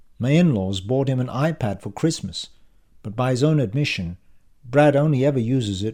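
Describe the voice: The voice is plain. It reads aloud.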